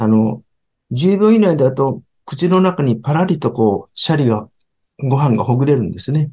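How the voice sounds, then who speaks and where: Somewhat breathy and dark, mellow in tone, a man's fairly high voice moves with lively intonation at a moderate pace. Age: 70s. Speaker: sushi restaurant company chairman. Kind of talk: interview talk about his business.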